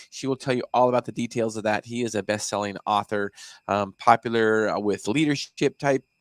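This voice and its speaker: A man's normal speaking voice at a medium pitch and fairly quick pace, with fairly even intonation, a dry, close sound with no echo and a very clean recording with a silent background. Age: 50s. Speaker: podcast host. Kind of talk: casual interview. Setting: studio.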